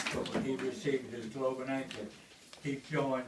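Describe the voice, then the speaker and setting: A man with a Tennessee accent, plus audible room echo. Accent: Southern US (Tennessee). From US South, Tennessee hills. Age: 80s+. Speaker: war veteran. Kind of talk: memorial speech. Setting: memorial gathering with audience.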